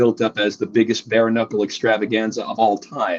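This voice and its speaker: With an American accent, a man speaks at a moderate pace and medium pitch in an ordinary speaking voice. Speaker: combat sports ring announcer. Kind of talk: interview answer, podcast guest.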